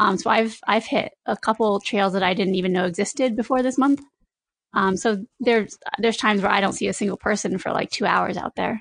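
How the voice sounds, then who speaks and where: A woman talks at a fairly quick pace with ordinary pitch variation. It is an unremarkable speaking voice. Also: medium pitch for a woman, dry, close sound with no echo. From eastern Connecticut, US. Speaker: trail runner. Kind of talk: casual interview.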